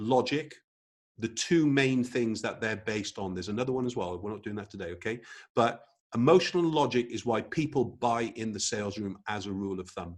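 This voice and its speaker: A man talks at a fairly quick pace with an English accent. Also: medium pitch for a man, ordinary pitch variation. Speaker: photography business trainer. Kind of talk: webinar presentation. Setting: live online webinar. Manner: hesitant, frequent fillers and repetitions.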